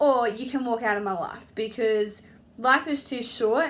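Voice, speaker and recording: With an Australian accent, a woman talks at a moderate pace. Her pitch shows ordinary variation. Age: 30s. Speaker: apprentice hairdresser. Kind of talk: casual talk to camera.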